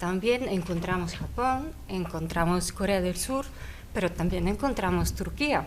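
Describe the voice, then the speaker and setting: A woman with a non-native accent speaks at a fairly slow pace with very even loudness, over noticeable background noise and audible room echo. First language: not Spanish (speaking Spanish). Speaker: panelist on international affairs. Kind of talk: panel debate. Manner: halting.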